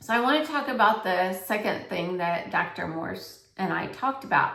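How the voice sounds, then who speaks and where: Audible room echo colors the recording. The woman talking uses ordinary pitch variation. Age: 60s. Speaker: health coach and vlogger. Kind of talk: casual vlog monologue. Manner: conversational, filler-heavy.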